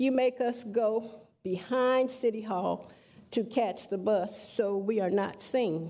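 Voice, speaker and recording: With a dark, mellow tone, a woman speaks at a very slow pace and ordinary pitch variation. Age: 60s. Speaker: public commenter at council meeting. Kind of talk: public comment speech. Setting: city council chamber. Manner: impassioned.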